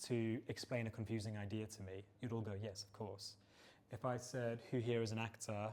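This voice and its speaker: Speaking at a moderate pace, a man talks at a medium pitch. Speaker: co-founder presenting at tech meetup. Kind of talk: presentation talk. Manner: presenting voice.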